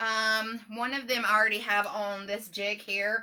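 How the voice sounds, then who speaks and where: Loud and bright, sharp in tone, a woman with an American accent speaks at a fairly high pitch. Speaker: business owner. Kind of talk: live stream tutorial.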